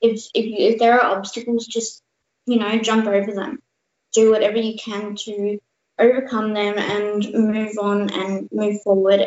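In an Australian accent, a woman talks at fairly high pitch with monotone, flat intonation. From Australia (born India, lived in Canada until three). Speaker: youth cancer charity ambassador, cancer survivor. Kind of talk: interview. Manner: halting.

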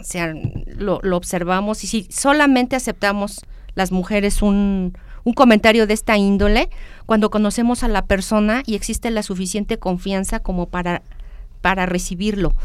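She has a plain, everyday voice at a medium pitch. The woman keeps her intonation fairly even and her pace moderate. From Mexico. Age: 50s. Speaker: university lecturer. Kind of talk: interview.

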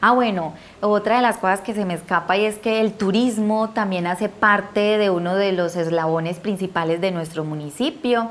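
Delivered with hardly any pauses, the speech has an Antioquian accent and ordinary pitch variation. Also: woman, medium pitch for a woman, moderate pace. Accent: Colombian paisa (Antioquia). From Colombia, eastern Antioquia. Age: 30s. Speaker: beekeeper, conflict survivor. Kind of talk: interview testimony.

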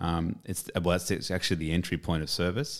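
Over a silent background on a very clean recording, a man speaks in a very deep, low voice with fairly even intonation. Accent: Australian. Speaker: podcast co-host. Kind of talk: casual chat. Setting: homemade studio.

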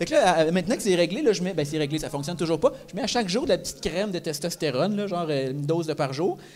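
In a Quebec accent, a man talks at a very fast pace in a high pitch, with ordinary pitch variation and hardly any pauses. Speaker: comedian. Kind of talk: live podcast talk before audience. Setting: stage with audience in a microbrewery.

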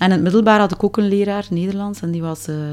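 A woman with a Flemish accent, talking at a very fast pace. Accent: Flemish Dutch. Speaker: singer. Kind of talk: interview.

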